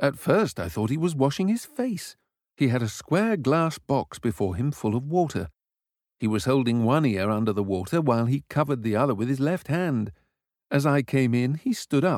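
Putting on a character voice in a British accent, a man speaks at a moderate pace and medium pitch, strained and enthusiastic in tone, in a very clean recording with a silent background. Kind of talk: classic children's audiobook reading. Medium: read story. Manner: restrained but enthusiastic.

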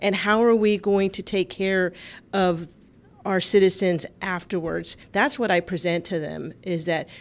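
In an American accent, a woman speaks at a moderate pace with a fairly low pitch and fairly even intonation, an ordinary speaking voice. The recording is very clean, with a silent background. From US South, Texas, south side of San Antonio. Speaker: environmental advocacy organizer. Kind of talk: radio talk show interview. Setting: studio.

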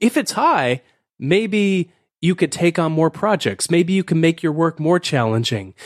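A man speaks fairly slowly in a high voice with lively intonation and very even loudness. The recording is very clean, with a silent background and a dry, close sound with no echo. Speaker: author and productivity speaker. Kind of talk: casual interview.

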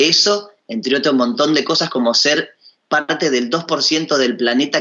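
A man with a plain, everyday voice talks at a fairly slow pace in a fairly high pitch, his intonation lively. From Tierra del Fuego, Argentina. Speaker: musician and actor. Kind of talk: radio interview. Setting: Skype call.

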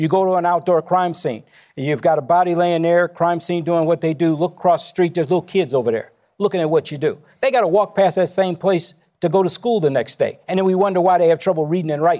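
A man's high, dark, mellow voice with an American accent, very fast, with ordinary pitch variation, on a very clean recording with a silent background. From Chicago. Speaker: former police chief. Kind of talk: town hall panel discussion.

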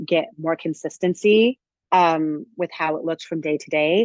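A woman with a normal speaking voice and an American accent talks at a fairly low pitch and a fairly slow pace, the sound dry and close with no echo. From US Midwest (southern Indiana). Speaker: Broadway actress. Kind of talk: casual interview. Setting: video call.

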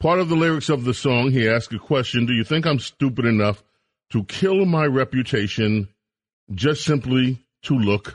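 A man's plain, everyday voice, medium in pitch, with lively intonation, very even loudness and a moderate pace, a dry, close sound with no echo, over a quiet background. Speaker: talk radio host. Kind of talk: political talk radio. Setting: studio.

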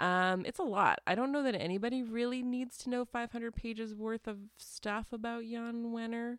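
A woman with a Canadian accent speaks in a normal speaking voice, fairly high in pitch. Her intonation is fairly even, her pace moderate, with hardly any pauses. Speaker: newspaper multimedia producer and podcast co-host. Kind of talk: casual chat podcast.

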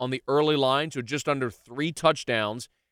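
Recorded very cleanly against a silent background, with a dry, close sound and no echo, a man speaks at a fairly quick pace and a fairly high pitch. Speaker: sports radio host and podcaster. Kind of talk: solo sports podcast monologue. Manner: enthusiastic, animated.

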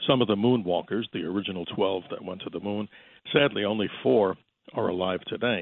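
This man's voice sits fairly low. His pitch varies in an ordinary way. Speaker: astronomy broadcaster. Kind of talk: call-in radio interview. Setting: radio studio. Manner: animated.

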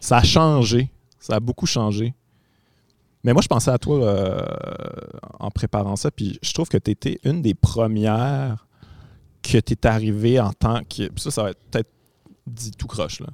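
Speaking at medium pitch with a Quebec accent, a man leaves long, frequent pauses in a dry, close sound with no echo and a very clean, silent background. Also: ordinary pitch variation, fairly slow pace. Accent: Québécois French. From Quebec City. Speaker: podcast host and comedian. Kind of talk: casual chat. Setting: performance venue, no audience.

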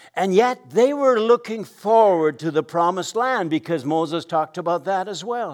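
Over background music, a man with a high-pitched voice speaks at a moderate pace with lively intonation. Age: 70s. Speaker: guest pastor. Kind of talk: sermon. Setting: stage with audience.

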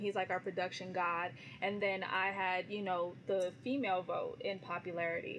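A normal speaking voice with an American accent, moderate pace, fairly even intonation and very even loudness. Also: woman. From California. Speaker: radio personality. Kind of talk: casual interview chat.

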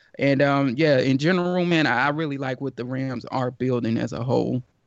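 A man with an American accent, medium pitch, and a fairly quick pace. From Georgia, US. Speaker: sports writer and podcast host. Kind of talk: casual sports talk.

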